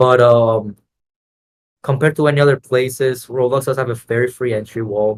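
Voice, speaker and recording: A somewhat breathy man at medium pitch, fairly even intonation, moderate pace. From Latin America. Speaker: Roblox game entrepreneur. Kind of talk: podcast interview. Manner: casual, many filler words.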